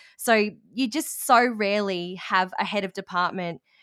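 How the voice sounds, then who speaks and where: In an Australian accent, a woman speaks at a medium pitch with ordinary variation, on a very clean recording with a silent background. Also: dry, close sound with no echo. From rural Australia. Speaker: language teacher and education business owner. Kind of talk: interview.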